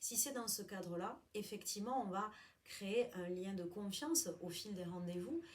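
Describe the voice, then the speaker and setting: Somewhat breathy, a woman speaks at a fairly slow pace with lively intonation. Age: 40s. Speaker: job counselor. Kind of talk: interview.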